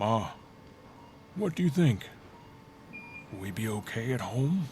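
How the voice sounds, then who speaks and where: A man's put-on character voice at medium pitch, with very wide pitch swings, a moderate pace and clear background noise. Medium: read story. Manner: low, confidential.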